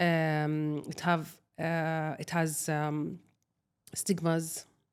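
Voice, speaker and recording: The pace of this woman's speech is very slow. Her voice sits fairly low in pitch. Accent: Arabic. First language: Arabic. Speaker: social media creator. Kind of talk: personal interview testimony. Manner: halting.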